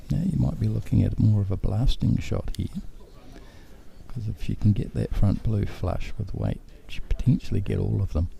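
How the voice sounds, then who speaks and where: With a New Zealand accent, a man speaks at a moderate pace against noticeable background noise. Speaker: bowls commentator. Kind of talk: live commentary. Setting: indoor venue near players. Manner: loud.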